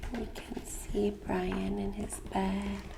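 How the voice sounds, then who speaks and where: Soft-spoken and gentle in tone, a woman talks at a very slow pace with lively intonation amid noticeable background noise. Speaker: ASMR creator reading a picture book aloud. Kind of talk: ASMR picture book reading. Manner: soft-spoken, gentle.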